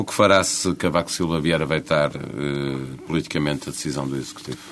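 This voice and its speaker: Noticeable background noise behind a man speaking at a fairly quick pace with ordinary pitch variation. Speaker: radio journalist. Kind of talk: interview; scripted narration.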